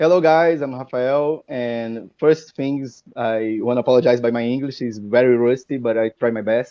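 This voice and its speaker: A man's medium-pitched voice in a Portuguese accent, at a moderate pace with hardly any pauses and fairly even intonation. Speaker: card game player. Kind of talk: interview. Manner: halting.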